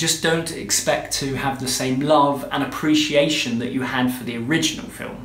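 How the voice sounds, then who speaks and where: In a British accent, a man talks at a moderate pace with monotone, flat intonation and hardly any pauses, and audible room echo surrounds him. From UK. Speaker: film reviewer. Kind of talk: scripted review to camera. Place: home room. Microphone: phone near.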